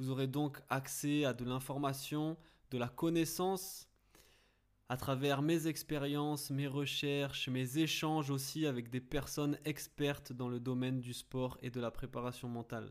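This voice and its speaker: A man with a fairly high pitch and an ordinary speaking voice talks at a fairly slow pace with fairly even intonation, recorded very cleanly over a silent background. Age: 20s. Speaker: podcast host and mental coach for athletes. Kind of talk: scripted podcast introduction.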